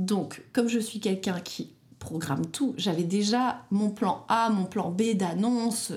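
The voice sounds somewhat breathy. Its pitch varies in an ordinary way. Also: woman. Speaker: bridal shop owner, entrepreneur and mother. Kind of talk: casual interview, personal testimony. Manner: talkative.

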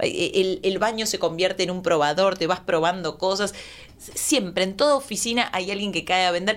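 A woman's plain, everyday voice at medium pitch, moderate pace and ordinary pitch variation. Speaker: comedian. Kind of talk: comedic casual chat.

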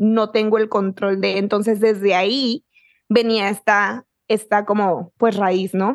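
A woman speaks very slowly at a medium pitch, with monotone, flat intonation. Her loudness stays very even over a quiet background. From Mexico, Chihuahua (small town). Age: 20s. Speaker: author and manifestation coach, podcaster. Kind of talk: casual chat.

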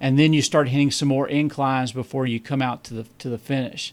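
A man with a Southern US accent talks at a fairly high pitch with fairly even intonation in a very clean recording with a silent background. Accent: southern drawl. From Kentucky. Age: 50s. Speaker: amateur ultrarunner. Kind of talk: podcast interview.

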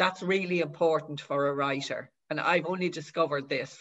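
The speaker talks at a fairly quick pace. The accent is Dublin. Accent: Dublin Irish. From Dublin, Ireland. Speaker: author. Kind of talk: casual chat.

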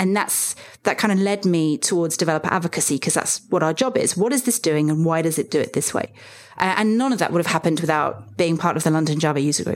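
On a very clean recording with a silent background, a woman speaks very fast at a fairly low pitch, with very even loudness and ordinary pitch variation. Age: 40s. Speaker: software developer advocate. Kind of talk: interview.

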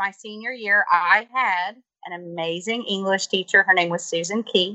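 With an American accent, a woman uses a normal speaking voice at medium pitch and fairly even intonation. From US South. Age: 40s. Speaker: teacher. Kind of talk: interview. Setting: video call. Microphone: faulty call connection.

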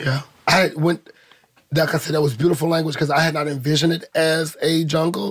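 A man with an American accent and a plain, everyday voice speaks at a moderate pace, fairly high in pitch and fairly even in intonation. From St. Louis, Missouri. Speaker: ballroom community member. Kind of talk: group conversation.

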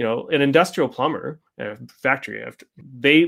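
In a very clean recording with a silent background, a man speaks with a Canadian accent. His pitch is fairly high, with ordinary variation and vocal fry. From Canada. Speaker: software entrepreneur. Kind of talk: interview.

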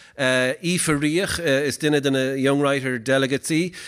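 A man with an Irish accent speaks in a fairly high pitch at a moderate pace. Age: 40s. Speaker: poet and event host. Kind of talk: live event hosting with poetry performance. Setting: stage with audience. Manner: halting.

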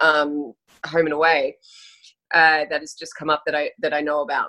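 Speaking with an Australian accent, a woman has a very deep, low pitch and a bright, sharp tone. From Australia (Sydney, then Brisbane). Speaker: actress. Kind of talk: casual chat.

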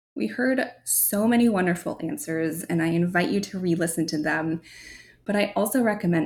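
A woman with a fairly low, somewhat breathy voice speaks at a moderate pace, her pitch swinging very widely. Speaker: podcast host and marketing agency founder. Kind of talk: solo podcast monologue. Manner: articulate.

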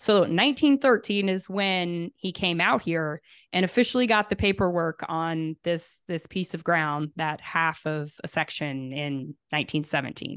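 With a plain, everyday voice and an American accent, a woman talks at a fairly slow pace and fairly low pitch, using lively intonation and hardly any pauses, in a dry, close sound with no echo against a quiet background. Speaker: rancher and beef business owner. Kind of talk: interview.

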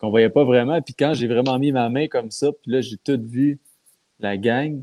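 A man's dark, mellow tone comes at a fairly slow pace, the sound dry and close with no echo. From Quebec. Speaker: pro wrestler. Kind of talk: casual chat.

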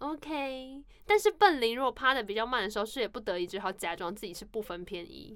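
A woman speaks in a Taiwanese accent at a fairly quick pace and fairly high pitch, with hardly any pauses. Her tone is animated, her intonation lively, and her loudness swings widely. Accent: Taiwanese Mandarin. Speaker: podcast co-host. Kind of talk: casual chat.

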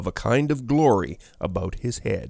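A man's medium-pitched voice, dramatic in tone, with lively intonation. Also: very clean recording, silent background. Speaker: audiobook narrator. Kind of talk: scripted ghost story narration, read aloud with dramatic character voices. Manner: hushed, suspenseful, slow and dramatic; shifts between a woman's narration and the male ghost's pleading.

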